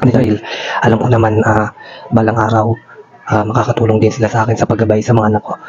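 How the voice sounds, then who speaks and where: A quiet man speaks at a very fast pace in a fairly low voice. His intonation is monotone and flat, with noticeable background noise. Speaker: family vlogger. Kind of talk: casual vlog talk to camera. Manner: quiet, low volume.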